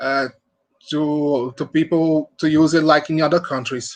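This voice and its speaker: In a Portuguese accent, a man speaks at a fairly high pitch with ordinary pitch variation. His pace is fairly slow. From Brazil. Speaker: medical student. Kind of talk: prepared statement. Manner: halting.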